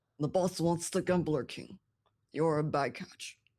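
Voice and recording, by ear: A woman's put-on character voice, very deep and low in pitch, at a moderate pace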